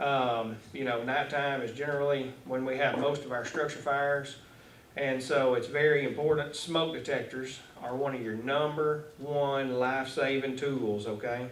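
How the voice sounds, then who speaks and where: A man speaks at a moderate pace in a Texan accent, his fairly high voice flat and monotone. Noticeable background noise and audible room echo surround him. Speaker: fire marshal. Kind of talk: talk to a club audience. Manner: loud.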